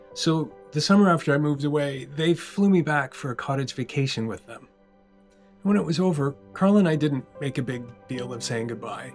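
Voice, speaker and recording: A man with a Canadian accent at a fairly high pitch and moderate pace, with ordinary pitch variation, big swings in loudness and music in the background. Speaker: cartoonist. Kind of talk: scripted personal video essay narration. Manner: reflective, emotional.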